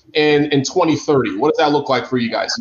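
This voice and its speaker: Noticeable background noise accompanies the recording. A man speaks at a moderate pace. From Africa. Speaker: podcast host. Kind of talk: casual interview. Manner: animated.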